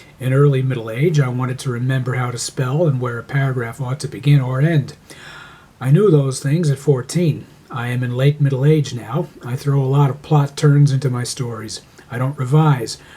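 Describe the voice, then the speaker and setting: A man's medium-pitched voice carries fairly even intonation against noticeable background noise. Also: moderate pace. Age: 60s. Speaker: amateur writer. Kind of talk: reading aloud.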